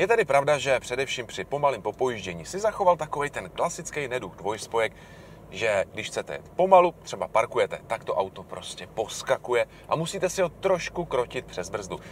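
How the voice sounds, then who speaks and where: A man talks at a fairly quick pace, his pitch swinging very widely, with light background noise behind him. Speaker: car reviewer. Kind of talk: car review commentary. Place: car.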